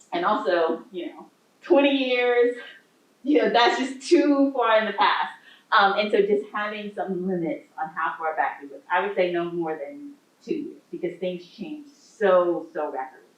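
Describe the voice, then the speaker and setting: The speaker goes at a fairly slow pace with very wide pitch swings and big swings in loudness, and room echo is audible. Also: woman, medium pitch for a woman. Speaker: law professor. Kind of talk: lecture; audience Q&A. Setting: library talk with audience.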